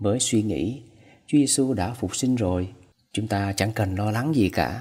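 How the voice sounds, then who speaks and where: Using a plain, everyday voice, a man at a medium pitch speaks at a fairly quick pace with ordinary pitch variation. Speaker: priest. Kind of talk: homily.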